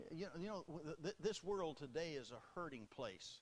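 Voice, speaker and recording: A man is talking. He speaks with a Southern US accent. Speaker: Baptist preacher. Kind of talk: sermon delivered to a congregation.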